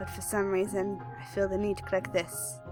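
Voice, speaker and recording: A woman speaks at a fairly slow pace in a very deep, low voice. Music plays behind her. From England. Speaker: gaming commentator. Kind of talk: let's play commentary. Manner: casual, excitable.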